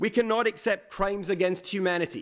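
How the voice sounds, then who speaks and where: Against a quiet background, a man with a high voice talks at a fairly quick pace. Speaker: speaker. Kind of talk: formal speech. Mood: earnest, formal.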